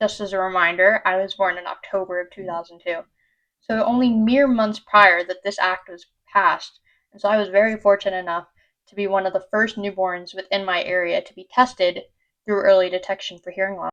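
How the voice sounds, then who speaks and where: A woman with an unremarkable speaking voice, medium pitch, fairly even intonation and big swings in loudness, at a fairly quick pace over a quiet background. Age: 20s. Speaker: vlogger, incoming medical student with hearing loss. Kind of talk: personal vlog talk.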